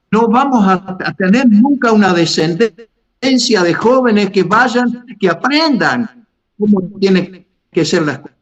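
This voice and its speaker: At a very slow pace, a man speaks in a high pitch with lively intonation. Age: 80s. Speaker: pastor. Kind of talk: podcast panel discussion. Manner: halting, many repetitions and fillers.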